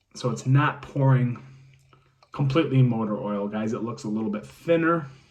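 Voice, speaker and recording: Moderately paced speech from a man at medium pitch, ordinary pitch variation, audible echo from the room. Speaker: beer reviewer. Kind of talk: product review. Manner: casual, many fillers.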